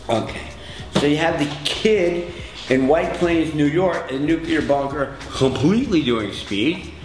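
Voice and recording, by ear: Over clear background music and audible room echo, a man speaks at a fairly slow pace in a fairly high voice with lively intonation.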